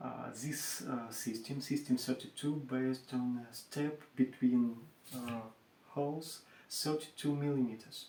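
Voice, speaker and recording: Speaking at a fairly slow pace, a man with a medium-pitched, dark and mellow voice keeps his intonation fairly even. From Russia. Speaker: furniture maker. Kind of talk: tutorial. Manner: halting, many hesitations.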